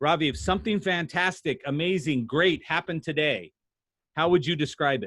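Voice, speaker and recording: This man speaks with an animated tone and vocal fry, his fairly high pitch showing ordinary variation. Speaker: sales trainer. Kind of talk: workshop presentation. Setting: video call. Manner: fast.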